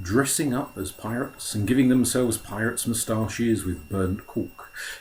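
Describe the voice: What is heard here is plain reading aloud.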